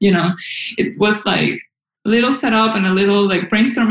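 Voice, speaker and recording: With a Spanish accent, a woman speaks in a fairly even intonation. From Venezuela, Caracas. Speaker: localization program manager. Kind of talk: interview. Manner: halting, many fillers.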